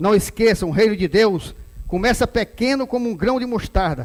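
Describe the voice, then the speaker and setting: The man's pitch is high and his intonation lively. He talks at a fairly slow pace. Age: 60s. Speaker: pastor. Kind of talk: sermon.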